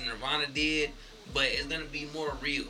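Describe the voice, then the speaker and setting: A man speaks over noticeable background noise. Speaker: podcast co-host. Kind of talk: casual chat.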